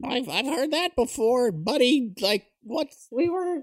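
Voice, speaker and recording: The speaker uses a put-on character voice at a high pitch and a very slow pace. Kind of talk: comic overacting. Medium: actual play. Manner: nervous, rambling, repetitive.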